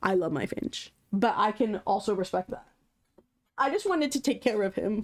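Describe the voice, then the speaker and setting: A woman speaks at a moderate pace in an ordinary speaking voice, her medium pitch rising and falling with lively intonation. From Canada. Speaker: streamer. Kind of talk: casual chat.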